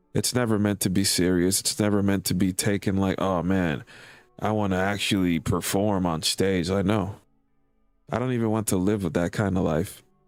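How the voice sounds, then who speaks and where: Over music in the background, a man talks at a moderate pace with a fairly low pitch, fairly even intonation and very even loudness. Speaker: streamer and hobby musician. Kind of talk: casual chat.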